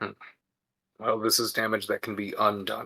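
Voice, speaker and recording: A man's put-on character voice, raspy and medium in pitch, at a moderate pace. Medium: actual play. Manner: formal, measured.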